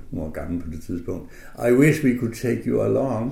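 Audible room echo fills the space. Within it, a man talks. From northern Jutland, Denmark. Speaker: concert pianist. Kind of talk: radio interview. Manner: hesitant with fillers.

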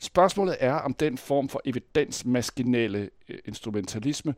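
Recorded very cleanly against a silent background, a man with an ordinary speaking voice talks with ordinary pitch variation in a dry, close sound with no echo. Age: 60s. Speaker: university lecturer. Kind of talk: interview.

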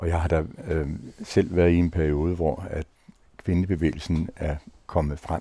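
A man talks in a very deep, low voice with a dark, mellow tone. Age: old. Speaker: retired senior, panel guest. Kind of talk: round-table discussion.

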